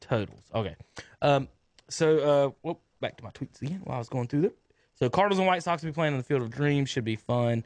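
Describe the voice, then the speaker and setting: A man with an American accent, fairly high-pitched, very fast and lively in intonation, in a dry, close recording with no echo. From North Carolina. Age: 30s. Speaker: sports radio host. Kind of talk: casual sports talk. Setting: radio studio.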